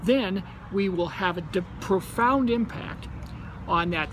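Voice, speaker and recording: A man speaks with a high pitch and ordinary pitch variation at a very slow pace. Noticeable background noise sits behind him. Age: 60s. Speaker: company co-founder. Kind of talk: promotional talk.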